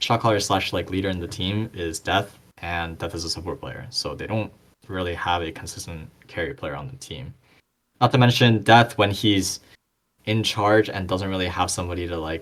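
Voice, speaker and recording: A man with a non-native accent, a very deep, low pitch and big swings in loudness. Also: ordinary pitch variation, moderate pace. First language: not English. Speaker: esports podcast commentator. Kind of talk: casual chat. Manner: halting.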